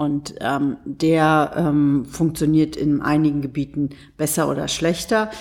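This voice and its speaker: Speaking very slowly, a woman uses a very deep, low voice with fairly even intonation. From Berlin, Germany. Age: 40s. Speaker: politician. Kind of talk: interview. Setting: ministry office in Berlin. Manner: halting, many fillers.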